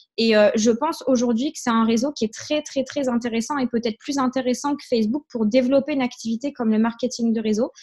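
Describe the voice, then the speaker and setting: The speaker is a woman with a high voice. She talks at a moderate speed with fairly even intonation. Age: 20s. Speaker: network marketing trainer. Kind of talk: online training session. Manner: hesitant, many fillers.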